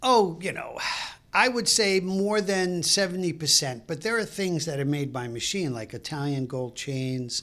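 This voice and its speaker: A man in a Brooklyn accent, high-pitched with a bright, sharp tone and lively intonation, at a moderate pace. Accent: New York (Brooklyn). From New York City (Brooklyn). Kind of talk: casual interview chat. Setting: studio.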